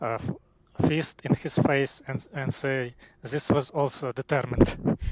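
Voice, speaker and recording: A man with a non-native accent, monotone and flat, in a dry, close sound with no echo. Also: medium pitch for a man, fairly slow pace. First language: not English. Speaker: caller. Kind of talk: casual debate. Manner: halting.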